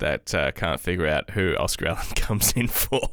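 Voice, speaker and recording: In an Australian accent, a man talks with lively intonation at a moderate pace. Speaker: football podcast co-host. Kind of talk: casual chat. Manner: slurs words together.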